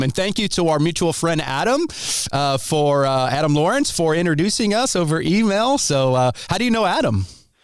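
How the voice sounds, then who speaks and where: A fairly high-pitched man with an American accent, upbeat in tone, with very wide pitch swings, very even loudness and a moderate pace. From Ohio, US Midwest. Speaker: podcast host. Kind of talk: interview. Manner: casual, upbeat.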